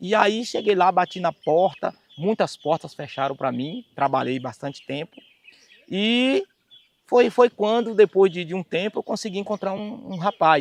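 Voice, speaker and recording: A man's high-pitched voice with lively intonation at a fairly slow pace, dry and close with no echo. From Bahia, Brazil. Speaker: singer and keyboard musician. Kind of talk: life story testimony.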